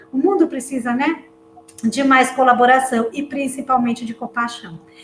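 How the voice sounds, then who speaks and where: A woman speaks at a fairly slow pace in a high voice, with music playing in the background. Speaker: career advisor and retail association director. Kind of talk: closing remarks at online panel. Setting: live online event.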